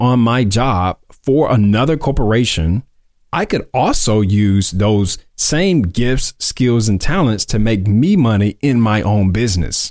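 In a very clean recording with a silent background, a man with an American accent speaks at a fairly slow pace, his medium-pitched voice rising and falling in a lively way. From US South, Mississippi (Columbus, Tupelo). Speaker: podcast host, entrepreneur. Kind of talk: personal storytelling monologue. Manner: casual, conversational with fillers.

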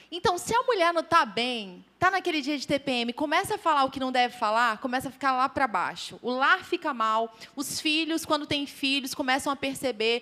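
A woman speaks in a raised, projected voice at a high pitch. Her pace is fairly quick, with ordinary pitch variation. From interior of Goiás, Brazil. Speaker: lay preacher speaking with her husband. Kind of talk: sermon.

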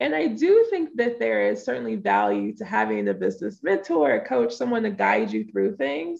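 In a Southern Louisiana accent, a woman speaks with a very deep, low pitch and very wide pitch swings. Her pace is moderate, with hardly any pauses. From US South, southeast Louisiana near New Orleans. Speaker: business coach. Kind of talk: interview. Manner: casual, relaxed flow.

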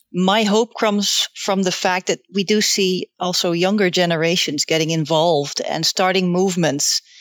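A woman talks at a moderate pace and medium pitch, with hardly any pauses. Her intonation is fairly even and her loudness very even. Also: dry, close sound with no echo. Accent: Dutch. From Netherlands. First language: Dutch. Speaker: volunteer editor. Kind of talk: casual chat.

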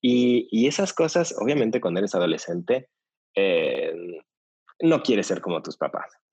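Long pauses come often in this moderately paced delivery. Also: man. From Mexico City. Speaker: yoga teacher trainer. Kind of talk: interview conversation.

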